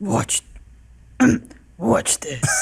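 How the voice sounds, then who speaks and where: A raspy, put-on character voice from a man at high pitch, with a dry, close sound and no echo. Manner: trying to sound cool.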